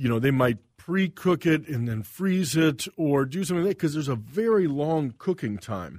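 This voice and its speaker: With an American accent, a man speaks in an ordinary speaking voice, fairly high in pitch, with lively intonation. His pace is moderate, and the recording is very clean with a silent background. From US South. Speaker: chef. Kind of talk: casual interview.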